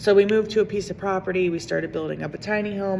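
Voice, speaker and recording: The woman's voice sits at a fairly low pitch. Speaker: vlogger. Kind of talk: personal vlog monologue. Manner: loud; rambling, casual.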